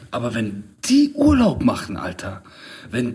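A man speaks against noticeable background noise. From Middle Eastern background, raised in Germany. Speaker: podcast host. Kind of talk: casual chat.

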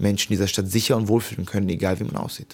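A fairly low-pitched man at a very fast pace with fairly even intonation, on a very clean recording with a silent background. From Hamburg, Germany. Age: 20s. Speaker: local politician. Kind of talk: interview.

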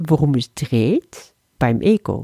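A woman with a Dutch accent, a very deep, low pitch and a dark, mellow tone, at a very slow pace, in a dry, close sound with no echo. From Netherlands, moved to Flanders, Belgium at 12. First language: Dutch (speaking German). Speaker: spiritual teacher. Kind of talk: spiritual lesson talk.

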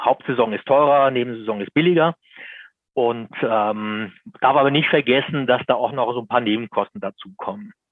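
Speaking at a moderate pace and medium pitch, a man with an unremarkable speaking voice shows ordinary pitch variation. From Lower Bavaria, Germany. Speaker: motoring journalist. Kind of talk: interview.

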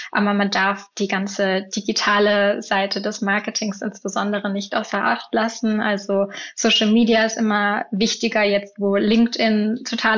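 At a moderate pace and with hardly any pauses, a woman talks in a monotone, flat delivery at very even loudness over noticeable background noise. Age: 20s. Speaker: field marketer. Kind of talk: interview.

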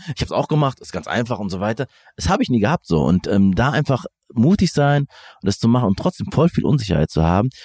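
A man speaks at a very fast pace with very wide pitch swings. The recording is very clean and silent behind him, with a dry, close sound and no echo. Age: 30s. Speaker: podcast host. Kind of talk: interview conversation. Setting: outdoors in a hotel courtyard. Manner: halting, many fillers.

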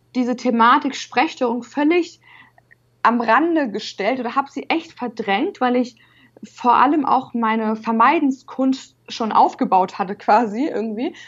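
The woman's voice sits high in pitch, with ordinary variation. She speaks at a moderate pace. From northern Germany, Hamburg. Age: 20s. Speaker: university student who stutters. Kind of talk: interview. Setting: video call.

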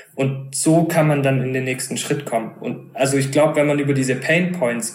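A man speaks at a medium pitch and moderate pace, with fairly even intonation. Music plays in the background, and the room echo is audible. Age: 20s. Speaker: startup co-founder. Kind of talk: interview conversation.

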